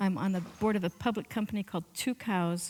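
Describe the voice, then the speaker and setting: Here is a plain, everyday voice at a moderate pace. The recording is very clean, with a silent background. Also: woman. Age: 60s. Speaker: entrepreneur. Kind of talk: Q&A interview.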